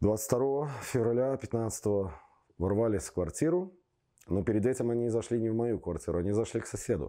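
The man's voice has a dark, mellow tone and lively intonation. He talks at a moderate pace over a quiet background. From Belarus, Minsk; Belarus. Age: 40s. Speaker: football fan, torture survivor; interviewee. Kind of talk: testimony; interview answer. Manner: halting. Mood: grim, indignant. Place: studio. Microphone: lapel.

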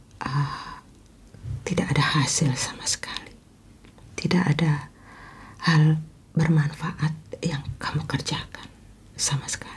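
With a very deep, low pitch and monotone, flat intonation, a woman talks at a fairly slow pace, pausing long and often. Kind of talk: advice talk to camera. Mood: calm, caring, earnest. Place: home room.

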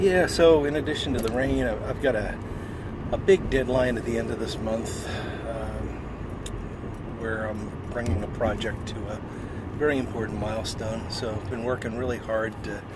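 A man at a moderate pace with ordinary pitch variation and long, frequent pauses, dry sound with no echo, under loud background noise. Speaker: cigar vlogger. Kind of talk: casual vlog chat. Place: car. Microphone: phone near.

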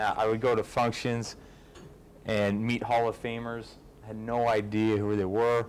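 Long, frequent pauses break up the fairly slow, monotone, flat delivery over light background noise. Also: man, medium pitch for a man. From Canada. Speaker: pro football kicker; guest. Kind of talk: fan event Q&A. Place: hall.

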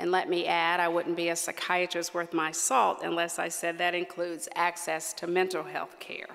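A woman's fairly low voice with an American accent, monotone and flat, with hardly any pauses. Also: moderate pace. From West Virginia. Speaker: psychiatrist and medical association leader; keynote speaker. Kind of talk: award acceptance speech. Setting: stage with audience. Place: hall. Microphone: podium.

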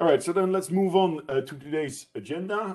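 Delivery comes at a moderate pace. Behind it, the background stays quiet. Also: man. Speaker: event co-host. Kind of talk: event moderation. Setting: video call. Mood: polite, welcoming. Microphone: video call.

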